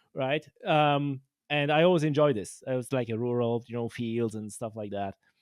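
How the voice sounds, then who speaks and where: In a Polish accent, a man speaks at a moderate pace and medium pitch with ordinary pitch variation. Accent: Polish accent, non-native. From Poland. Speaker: podcast host and angler. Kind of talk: casual interview chat. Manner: halting, many fillers and restarts.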